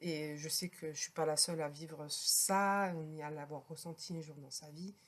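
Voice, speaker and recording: A woman's very deep, low voice, fairly slow, with fairly even intonation and big swings in loudness. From France. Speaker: podcaster, healer. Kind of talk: personal podcast talk. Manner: hesitant, conversational.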